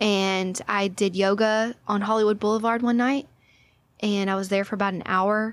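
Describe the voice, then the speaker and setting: A woman with an American accent and an ordinary speaking voice talks at a moderate pace, in a medium pitch with fairly even intonation, on a very clean recording with a silent background. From Texas, Orange (southeast Texas). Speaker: yoga instructor. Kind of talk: casual chat.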